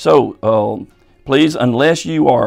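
A man at a very slow pace, with faint music in the background. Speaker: church pastor. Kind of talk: pastoral announcement to congregation. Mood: calm, reassuring. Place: office.

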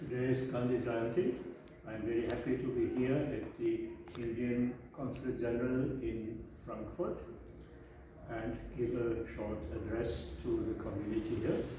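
A man speaks at medium pitch with ordinary pitch variation. Strong room echo and noticeable background noise fill the recording. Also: moderate pace. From Germany. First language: German. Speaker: author and scholar. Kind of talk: formal address. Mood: warm, celebratory. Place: office. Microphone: camera far.

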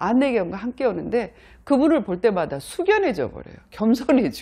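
Against a quiet background, a woman talks at a fairly high pitch with vocal fry, a dark, mellow tone and very wide pitch swings. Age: 50s. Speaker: motivational speaker; lecturer, YouTuber. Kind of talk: vlog monologue. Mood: warm, expressive storytelling. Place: studio. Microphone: lapel.

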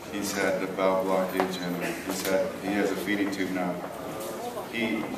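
A man at a moderate pace, loud background noise and audible room echo. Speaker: interviewee. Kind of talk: interview answer. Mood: earnest, hopeful. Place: hall. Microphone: handheld.

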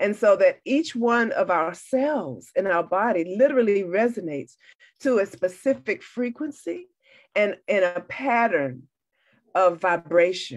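Against a quiet background, a woman's voice swings very widely in pitch. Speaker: sound healer. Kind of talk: casual chat. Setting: video call. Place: home room. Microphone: video call.

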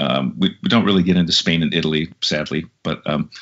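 The background is quiet. A man's voice moves at a moderate pace, with ordinary pitch variation. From Minneapolis, Minnesota; Minnesota. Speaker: musician and vocalist; guest. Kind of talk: interview. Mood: friendly, reflective. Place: home room. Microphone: low quality Skype recording; video call.

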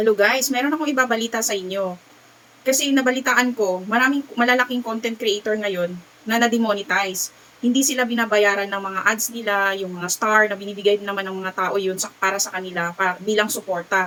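Over noticeable background noise, a woman talks at a fairly quick pace in a fairly high pitch with ordinary pitch variation. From Visayas, Philippines. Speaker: vlogger. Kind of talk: casual vlog talk.

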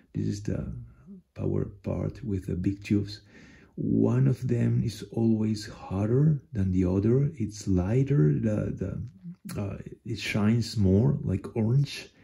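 A man's fairly low, dark and mellow voice, somewhat breathy, at a very slow pace with lively intonation against a quiet background. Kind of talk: tutorial. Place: home room. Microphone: phone near.

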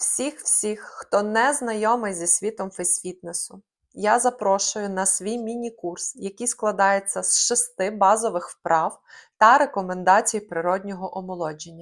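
A woman with an ordinary speaking voice talks at a fairly slow pace and a medium pitch, her pitch varying in an ordinary way on a very clean recording with a silent background. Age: 30s. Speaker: face fitness trainer. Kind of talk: scripted narration.

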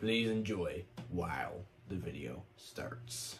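Over clear background noise, a man does a cartoonish character voice at a very deep, low pitch and a very slow pace. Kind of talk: video intro. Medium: puppet.

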